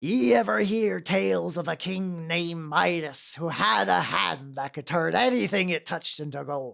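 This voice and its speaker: At a moderate pace, a put-on character voice speaks with a low-to-middle pitch. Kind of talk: pirate talk. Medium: virtual streamer. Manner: gruff, folksy, conspiratorial.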